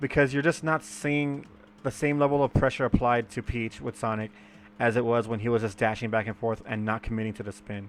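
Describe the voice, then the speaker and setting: A man at a medium pitch mumbles his words at a fairly quick pace. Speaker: gaming video commentator. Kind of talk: game footage commentary. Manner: halting, stammering; mumbling.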